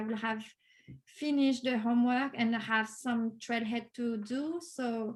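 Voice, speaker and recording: A woman speaks with a French accent at a high pitch. Her pace is moderate and her intonation fairly even. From France. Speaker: Salesforce developer, course graduate. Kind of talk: interview. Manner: hesitant, many fillers.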